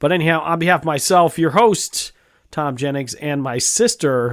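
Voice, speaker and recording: In a put-on character voice, a man talks at a moderate pace with a raspy, fairly high pitch. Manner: radio announcer voice.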